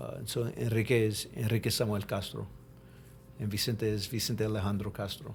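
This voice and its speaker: Speaking with an American accent at a fairly quick pace, a man uses fairly low pitch, fairly even intonation and vocal fry. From Texas, Galveston. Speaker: podcast host, Marine linguist. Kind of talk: casual interview chat. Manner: halting, many repeated words.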